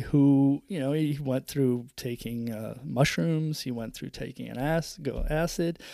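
Fairly slow and fairly even in intonation, the speaker has a dark, mellow tone with vocal fry and an American accent. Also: man.

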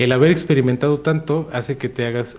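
A man's intonation stays fairly even as he talks at a fairly quick pace. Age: 30s. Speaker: content creator. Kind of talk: casual chat.

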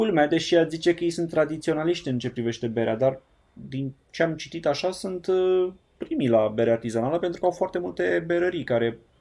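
With lively intonation, a man speaks in an unremarkable speaking voice at a fairly high pitch. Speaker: podcast host. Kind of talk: casual chat.

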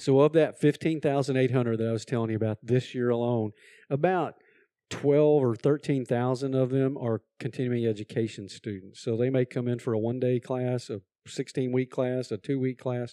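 A man with a Texan accent, medium pitch and a dark, mellow tone, moderate pace and fairly even intonation, dry, close sound with no echo over a quiet background. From Texas. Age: old. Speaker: community college president. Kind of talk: interview.

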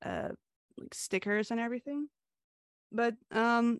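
A woman speaks with a Canadian accent. The recording is very clean and dry, close-miked with a silent background and no echo. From Hungary, moved to Canada at nine. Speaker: comic artist and animator. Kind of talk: interview. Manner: hesitant, many fillers.

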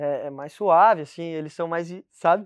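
Against a quiet background, the speaker talks with a Brazilian accent. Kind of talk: casual chat. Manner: halting.

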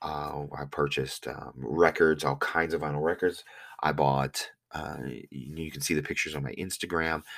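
A man with a very deep, low pitch and vocal fry talks at a moderate pace with fairly even intonation. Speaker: podcast host and online reseller. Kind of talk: casual monologue. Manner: hesitant, many fillers.

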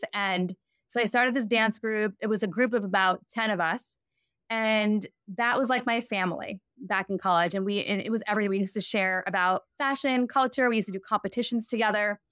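An unremarkable speaking voice moves at a fairly quick pace with fairly even intonation and very even loudness, in a dry, close sound with no echo and a very clean recording with a silent background. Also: woman, fairly high pitch for a woman. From New York. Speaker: fashion brand founder. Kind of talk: interview conversation.

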